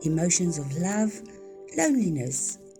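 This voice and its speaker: Background music fills the recording. A woman's words come out very slowly. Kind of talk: personal life story narration.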